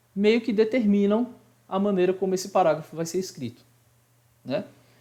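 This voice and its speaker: A man with a high pitch speaks in a dark, mellow tone with ordinary pitch variation. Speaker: high school Portuguese teacher. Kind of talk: online class lecture. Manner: fast.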